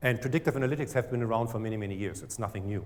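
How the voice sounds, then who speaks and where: A somewhat breathy man with a German accent, medium in pitch. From Germany. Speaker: startup CEO. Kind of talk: pitch presentation.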